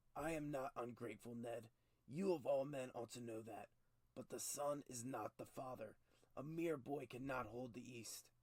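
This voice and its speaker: Using a raspy, put-on character voice, a man speaks at a medium pitch and moderate pace with ordinary pitch variation. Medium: read story. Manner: blunt, hearty, impatient.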